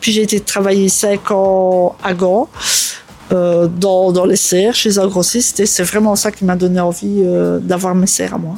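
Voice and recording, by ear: A woman speaks at medium pitch and a moderate pace, with little pitch movement. Her tone is dark and mellow, with vocal fry.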